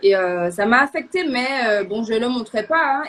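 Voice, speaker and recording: Here a woman talks at a moderate pace. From Martinique. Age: 20s. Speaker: guest sharing faith testimony. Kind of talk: testimony. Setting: live online show. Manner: halting, many hesitations.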